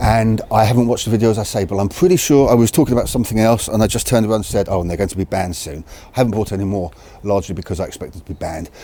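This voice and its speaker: Amid noticeable background noise, a man with a fairly low pitch speaks very fast with ordinary pitch variation. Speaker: video creator on crossbows. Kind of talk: casual talk to camera. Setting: outdoors in the cold. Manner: halting, self-correcting.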